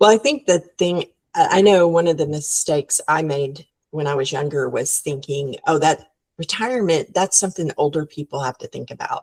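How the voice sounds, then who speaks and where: A woman speaks with a plain, everyday voice, fairly low in pitch, at a moderate pace with ordinary pitch variation. The sound is dry and close, with no echo. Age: 60s. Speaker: business founder. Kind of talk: podcast interview.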